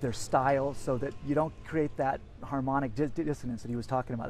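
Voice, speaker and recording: The man's voice sits fairly high in pitch. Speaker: seminar attendee giving testimonial. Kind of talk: testimonial interview. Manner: fast; animated.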